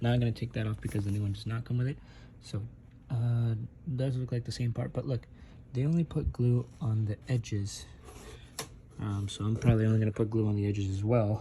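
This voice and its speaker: Quiet and somewhat breathy, a man with a dark, mellow tone and medium pitch talks at a fairly quick pace with long, frequent pauses over light background noise. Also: fairly even intonation. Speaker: car DIY video maker. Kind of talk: tutorial. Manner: casual, with many fillers. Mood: relaxed, unbothered. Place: home room. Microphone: phone near.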